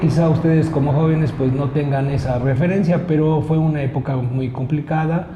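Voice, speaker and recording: Noticeable background noise is present. The room adds an audible echo. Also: man. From Mexico, Puebla. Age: 60s. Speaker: local politician and engineer. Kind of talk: interview.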